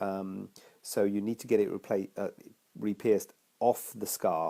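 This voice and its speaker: In a very clean recording with a silent background, a man speaks with a fairly low pitch and a dark, mellow tone. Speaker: cosmetic surgeon. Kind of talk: live Q&A talk to camera. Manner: casual, hesitant.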